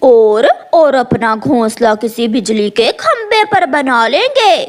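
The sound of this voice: A cartoonish character voice sounds female and sits at a high pitch. It moves at a very slow pace.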